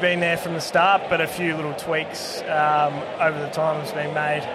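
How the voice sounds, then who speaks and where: A man speaks in a rural Australian accent, his pitch fairly high and his intonation monotone and flat. Noticeable background noise and audible room echo fill the recording. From rural northern Victoria, Australia. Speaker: brewer. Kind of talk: casual chat. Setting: outdoors.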